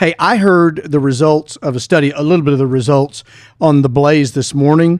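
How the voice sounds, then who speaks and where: With an American accent, a man speaks fairly quickly at a fairly high pitch with ordinary pitch variation. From Arkansas. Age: 60s. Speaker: pastor and podcast co-host. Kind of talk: casual chat.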